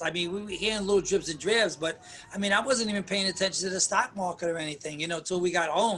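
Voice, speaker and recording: Raising and projecting his high voice, a man speaks at a fairly quick pace. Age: 60s. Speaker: musician and venue owner. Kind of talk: interview. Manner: halting.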